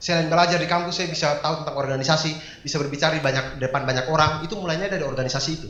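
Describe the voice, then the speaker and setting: A man talks at a very fast pace. There is noticeable background noise and audible room echo. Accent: eastern Indonesian. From eastern Indonesia. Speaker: stand-up comedian. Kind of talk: stand-up. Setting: stage with audience.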